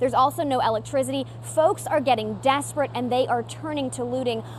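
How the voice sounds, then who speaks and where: A woman speaks at a fairly quick pace with an American accent. Noticeable background noise runs under her voice. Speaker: TV news anchor and reporter. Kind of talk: live field report on location. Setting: outdoors at storm scene, windy.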